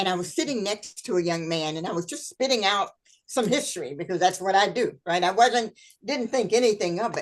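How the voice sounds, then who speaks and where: A woman is speaking. Her pace is fairly quick. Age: 60s. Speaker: historian and speaker. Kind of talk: interview chat.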